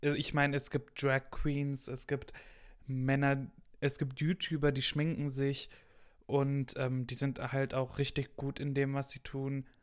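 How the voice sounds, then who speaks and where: At a very slow pace, a man with a fairly high pitch speaks in monotone, flat intonation, recorded very cleanly against a silent background. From Ruhr area, western Germany (Gelsenkirchen). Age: young. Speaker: university student. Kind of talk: casual chat. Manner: loud.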